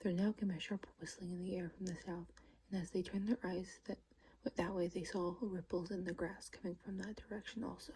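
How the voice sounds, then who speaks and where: This voice is soft-spoken. Its delivery is fairly quick. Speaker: ASMR creator. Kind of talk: read story. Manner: occasional stumbling.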